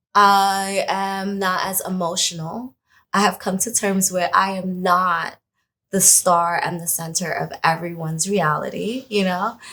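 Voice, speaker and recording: A woman with an American accent speaks at a medium pitch and a fairly slow pace, her bright, sharp tone held in monotone, flat intonation, in a very clean recording with a silent background. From Brooklyn, New York, with time in Trinidad and Tobago. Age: 30s. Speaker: hair colorist. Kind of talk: interview.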